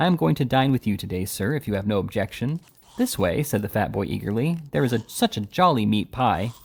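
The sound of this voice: The intonation rises and falls in a lively way. It comes from an unforced reading voice.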